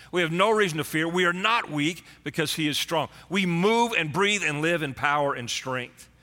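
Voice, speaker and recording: An animated man at a high pitch, with a bright, sharp tone, ordinary pitch variation and a moderate pace. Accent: Texan. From Texas. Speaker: pastor. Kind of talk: sermon. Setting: church streamed online.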